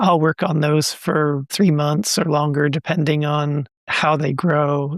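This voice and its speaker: In a dry, close recording with no echo, a man with a normal speaking voice talks fairly slowly at a fairly high pitch. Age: 60s. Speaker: textile artist. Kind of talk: interview.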